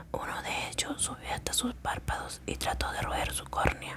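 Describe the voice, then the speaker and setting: A whisper comes through with background noise clearly audible. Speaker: ASMR creator. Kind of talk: short story reading. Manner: whispered.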